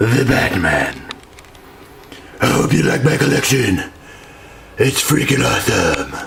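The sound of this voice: A put-on character voice from a man, raspy and gravelly, medium-pitched, at a fairly slow pace with audible echo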